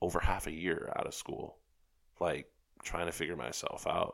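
A man talks with a New York accent. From New York City (Rockaways, Queens). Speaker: advertising creative and writer. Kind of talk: casual chat. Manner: soft-spoken.

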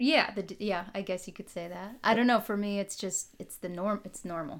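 A woman uses a plain, everyday voice at medium pitch with fairly even intonation. She talks at a fairly quick pace on a very clean recording with a silent background. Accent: American. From Minnesota, near Fargo. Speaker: occupational therapist. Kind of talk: casual chat.

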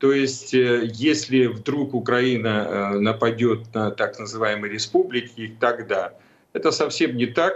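The man talks at a very slow pace and a medium pitch. His intonation stays fairly even. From Ukraine. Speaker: retired general. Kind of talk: political talk show discussion.

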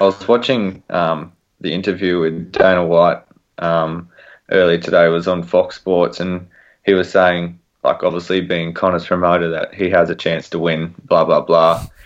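A very deep, low-pitched man's voice with an Australian accent, monotone and flat, against a quiet background. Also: moderate pace. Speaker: sports podcast co-host. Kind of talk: casual chat.

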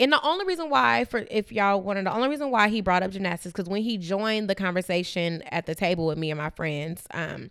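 In a plain, everyday voice, a woman speaks at a fairly quick pace with a medium pitch and lively intonation. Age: 30s. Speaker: podcast co-host. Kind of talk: casual chat.

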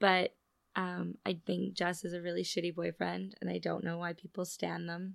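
A woman talks at a moderate pace, recorded very cleanly against a silent background. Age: 30s. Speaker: podcast host. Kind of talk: casual monologue.

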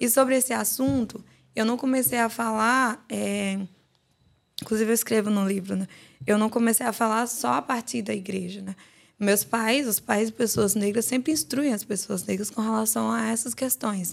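A woman with a fairly high voice speaks at a moderate pace with ordinary pitch variation in a normal speaking voice, on a very clean recording with a silent background. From Guinea-Bissau, raised in João Pessoa, Brazil. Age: 20s. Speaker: author and theology student. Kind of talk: podcast interview. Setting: studio.

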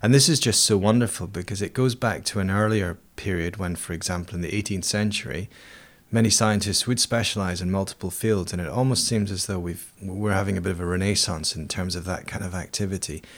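Speaking in an Edinburgh accent, a man moves at a fairly quick pace with a fairly low pitch and ordinary pitch variation. The recording is very clean, with a silent background. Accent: Scottish (Edinburgh). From Scotland, Edinburgh. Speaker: volcanologist and university lecturer. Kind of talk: interview. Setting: his university office. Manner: hesitant, with fillers.

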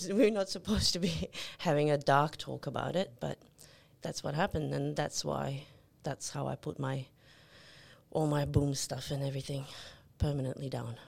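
Recorded very cleanly against a silent background, this voice has vocal fry, ordinary pitch variation, and long, frequent pauses. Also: woman, very deep, low pitch for a woman, moderate pace. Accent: Serbian. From Yugoslavia (Serbia). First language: Serbian. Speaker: nurse. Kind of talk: casual chat.

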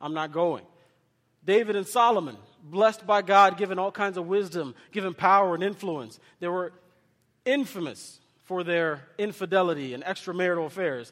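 A man's high-pitched voice at a moderate pace, with ordinary pitch variation, in a very clean recording against a silent background. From Kenya, raised in US. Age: 30s. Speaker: associate pastor. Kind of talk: sermon. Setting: church with congregation. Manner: animated, interactive with congregation.

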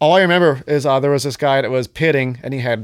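In an American accent, a plain, everyday voice speaks with ordinary pitch variation. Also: man. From Johnstown, Pennsylvania. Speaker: hardcore musician and show promoter. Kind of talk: casual chat. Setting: in person at host's place.

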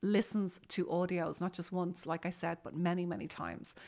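A woman with an Irish accent at medium pitch and a moderate pace, on a very clean recording with a silent background. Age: 40s. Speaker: hypnotherapist and author. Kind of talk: interview.

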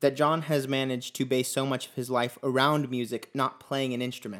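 An ordinary speaking voice comes through a very clean recording with a silent background. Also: man. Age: 20s. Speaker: podcast host and musician. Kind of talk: casual chat.

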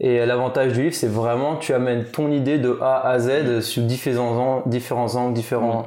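A man talks at a medium pitch in a dark, mellow tone with a flat, monotone delivery, very even loudness and hardly any pauses, and the room echo is audible. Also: moderate pace. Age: 30s. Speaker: podcast host. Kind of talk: casual interview.

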